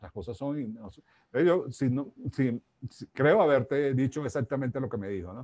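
The man's voice sits at a medium pitch with a dark, mellow tone and lively intonation, moving at a moderate pace. His loudness swings widely, and the sound is dry and close with no echo. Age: 60s. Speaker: life coach and author. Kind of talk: interview.

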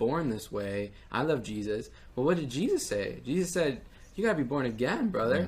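This man has an unremarkable speaking voice, talking at a moderate pace with ordinary pitch variation. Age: 20s. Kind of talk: testimony.

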